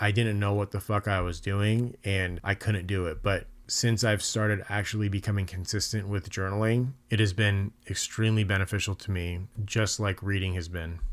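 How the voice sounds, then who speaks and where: His intonation stays monotone and flat as a man talks at a fairly low pitch. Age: 30s. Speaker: podcast host, father. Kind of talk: solo podcast monologue.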